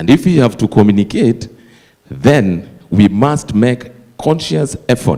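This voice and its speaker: A man speaks at a fairly slow pace with a Kenyan accent. His tone is dark and mellow, and his intonation is lively. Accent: Kenyan (Luo) English. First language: Dholuo. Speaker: associate professor of applied linguistics. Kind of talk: conference Q&A comment.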